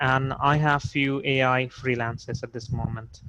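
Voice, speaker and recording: A man is speaking with a non-native accent. His voice sits at a fairly high pitch. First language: not English. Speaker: startup founder. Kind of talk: video call workshop introduction. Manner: halting, many fillers.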